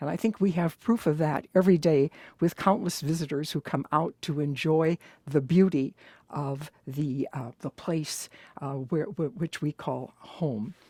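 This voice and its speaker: Her pitch is very deep and low. The woman talks at a fairly slow pace. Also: ordinary pitch variation. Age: 70s. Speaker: nun and university administrator. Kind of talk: recorded oral history interview. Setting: recorded conversation.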